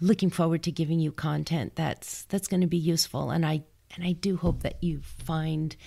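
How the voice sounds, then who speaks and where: With a Californian accent, a woman speaks at a fairly quick pace in a very deep, low pitch and a dark, mellow tone, on a very clean recording with a silent background. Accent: General American, Californian. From US West Coast, Los Angeles. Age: 60s. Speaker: podcast host. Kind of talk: solo podcast monologue. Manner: conversational with frequent restarts.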